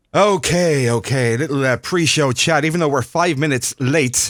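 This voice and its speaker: On a very clean recording with a silent background, a man with vocal fry speaks at a moderate pace and fairly high pitch. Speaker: radio show host. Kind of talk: live radio show broadcast from home.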